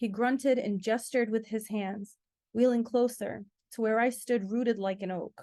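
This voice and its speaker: Fairly high in pitch, this woman has a normal speaking voice. She keeps a moderate pace and fairly even intonation. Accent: American. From Rhode Island, US (from age six). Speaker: author. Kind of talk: reading aloud.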